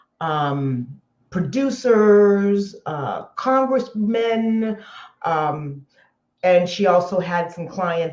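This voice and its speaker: A woman with an American accent, medium pitch and lively intonation, with audible room echo. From Southern California. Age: 60s. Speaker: entrepreneur. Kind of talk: interview.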